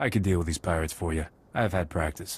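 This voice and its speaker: Using a put-on character voice, a man rattles off words at a very fast pace in a very deep, low pitch. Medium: video game. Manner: dry, cocky.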